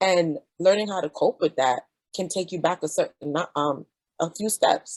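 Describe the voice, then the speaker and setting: A woman in a Jamaican accent, fairly low-pitched, at a moderate pace with ordinary pitch variation and a dry, close sound with no echo. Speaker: physician. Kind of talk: panel discussion.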